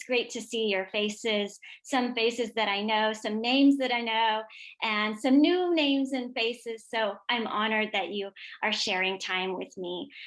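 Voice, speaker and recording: A woman at a moderate pace, fairly high in pitch with ordinary variation, against a quiet background. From US (immigrated from former Yugoslavia as toddler). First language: Serbian. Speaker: educator and author. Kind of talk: professional development presentation.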